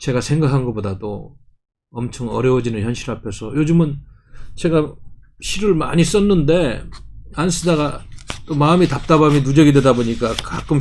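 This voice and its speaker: Speech at a moderate pace with ordinary pitch variation and long, frequent pauses carries audible room echo. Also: man. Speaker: party policy chief and commentator. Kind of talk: political commentary monologue.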